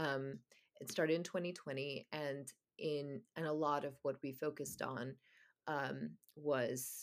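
A woman's very deep, low voice with vocal fry. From Oman, Middle East (Indian family). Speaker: novelist. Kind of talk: interview. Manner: hesitant, many filler ums.

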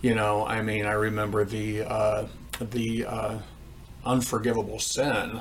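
A man's fairly low voice in an American accent, monotone and flat, with audible room echo. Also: fairly slow pace. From US Midwest, Indiana. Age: 50s. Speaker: church counselor sharing testimony. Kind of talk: testimony.

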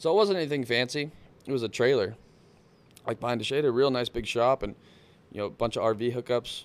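A medium-pitched man with a Texan accent and ordinary pitch variation. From South Texas coast. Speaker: motorsports technician and off-road driver. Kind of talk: casual chat.

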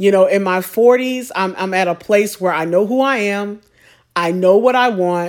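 A woman speaks in an unremarkable speaking voice at a medium pitch. Her pace is moderate, with ordinary pitch variation. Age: 40s. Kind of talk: solo monologue on faith and singleness. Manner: conversational, with fillers and repetitions.

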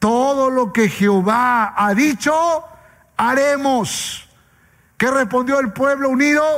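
A man speaks at an extremely high pitch and a very slow pace. He leaves long, frequent pauses. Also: ordinary pitch variation, very even loudness. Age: 40s. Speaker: pastor. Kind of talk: sermon.

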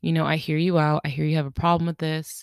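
In a very clean recording with a silent background, a woman speaks at a very deep, low pitch, the sound dry and close with no echo. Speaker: podcast host. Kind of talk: solo monologue podcast. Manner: fast when excited; casual, laughs often.

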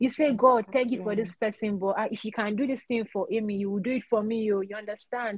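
A woman talks at a very fast pace with hardly any pauses, her fairly high pitch held in fairly even intonation. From Nigeria. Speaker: podcast guest, doctor. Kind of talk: casual chat.

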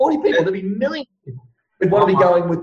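A man with a high pitch and very wide pitch swings, in an Australian accent. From Ipswich, Queensland, Australia. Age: 40s. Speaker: real estate coach and trainer. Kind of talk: casual interview. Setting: remote call from Perth. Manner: energetic, animated.

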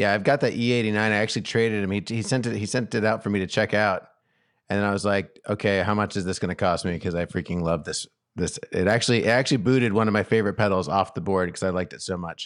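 In a very clean recording with a silent background, a man with a fairly low pitch speaks at a very fast pace in an animated tone. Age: 40s. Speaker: podcast host and guitar teacher. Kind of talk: casual chat.

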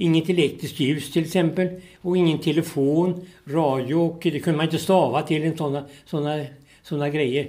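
With a fairly high pitch and a dark, mellow tone, a man speaks at a moderate pace in fairly even intonation. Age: 80s+. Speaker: retired sports journalist and veteran orienteer. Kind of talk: interview. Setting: in person at his home. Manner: halting, repeats words.

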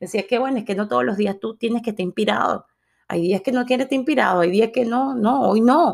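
A woman with an unremarkable speaking voice talks at a fairly quick pace with lively intonation. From Latin America. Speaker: podcast host. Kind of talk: motivational monologue.

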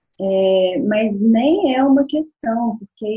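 The speaker is a woman. Her intonation rises and falls in an ordinary way. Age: 40s. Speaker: guest talking about her zodiac sign. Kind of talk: casual chat. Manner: halting.

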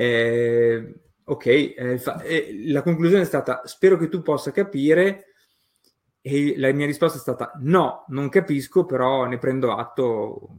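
Very slowly and with long, frequent pauses, a man speaks at a fairly high pitch. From Romagna, Italy. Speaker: graphic designer and illustrator. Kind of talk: casual interview. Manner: hesitant, many fillers.

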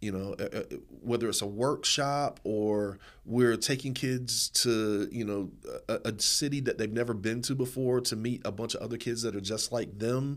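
On a very clean recording with a silent background, a man with an unremarkable speaking voice and an American accent speaks at medium pitch, a moderate pace, and fairly even intonation. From Eastern North Carolina, US. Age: 40s. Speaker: nonprofit founder and performance poet. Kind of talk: podcast interview.

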